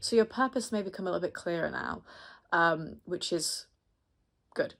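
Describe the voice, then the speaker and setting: A woman speaks at a medium pitch in an American accent, with ordinary pitch variation and a moderate pace. The recording is very clean and the background silent. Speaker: astrologer. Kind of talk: horoscope reading monologue. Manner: casual, chatty with fillers.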